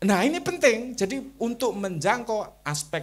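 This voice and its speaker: A man with a Javanese accent and very wide pitch swings. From Java, Indonesia. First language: Javanese (speaking Indonesian). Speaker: Islamic culture thinker. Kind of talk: interview talk on religion and culture.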